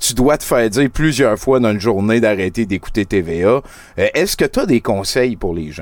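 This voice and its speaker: A man speaks in an ordinary speaking voice at a medium pitch. His intonation is lively. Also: moderate pace. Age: 40s. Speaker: podcast host. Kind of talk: casual chat. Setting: live show streamed on Twitch.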